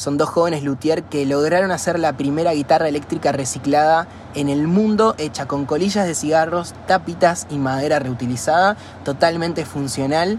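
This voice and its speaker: A man with a fairly high pitch, ordinary pitch variation and a moderate pace, over noticeable background noise. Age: 20s. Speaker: environmental NGO founder. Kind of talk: interview.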